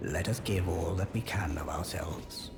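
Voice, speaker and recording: Someone speaks in a put-on character voice at a moderate pace. Loud background noise runs underneath. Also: man, very deep, low pitch for a man. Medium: machinima. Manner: warm, dignified.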